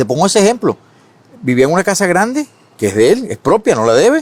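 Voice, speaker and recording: With a dry, close sound and no echo, a man's voice swings very widely in pitch. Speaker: economist, advisor. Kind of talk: interview. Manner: fast.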